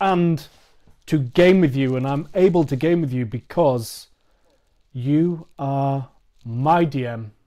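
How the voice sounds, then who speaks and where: A man at a very slow pace in a British accent, fairly high pitch with ordinary pitch variation, on a very clean recording with a silent background. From England. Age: 40s. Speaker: podcast host. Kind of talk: casual chat.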